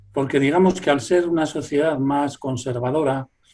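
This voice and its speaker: A somewhat breathy man talks at a fairly slow pace with ordinary pitch variation. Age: 60s. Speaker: folklorist. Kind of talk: interview.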